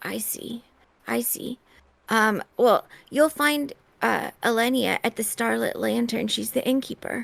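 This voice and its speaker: Putting on a raspy character voice, a woman speaks at a fairly slow pace with fairly high pitch. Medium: actual play. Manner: eager, chatty, lovestruck.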